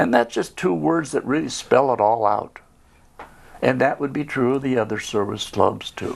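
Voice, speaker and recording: Speaking at a moderate pace, a man with a medium-pitched voice shows lively intonation and some vocal fry. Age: 80s+. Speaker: service club founding member. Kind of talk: casual interview chat.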